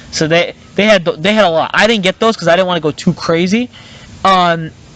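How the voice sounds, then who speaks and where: Amid noticeable background noise, a man with a high pitch talks at a fairly quick pace, with very even loudness and fairly even intonation. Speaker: podcast host. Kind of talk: casual chat. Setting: outdoors in the woods. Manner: halting, filler-heavy.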